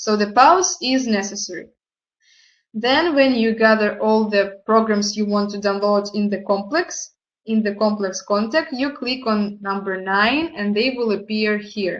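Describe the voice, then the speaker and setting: Against a quiet background, a woman with a non-native accent speaks fairly slowly in a fairly high voice with ordinary pitch variation. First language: not English. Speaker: product presenter. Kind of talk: online presentation tutorial. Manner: halting.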